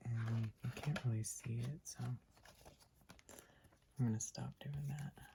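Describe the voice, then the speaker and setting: A soft-spoken voice at a very slow pace with long, frequent pauses. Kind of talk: soft-spoken ASMR talk to camera about books. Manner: soft-spoken, quiet.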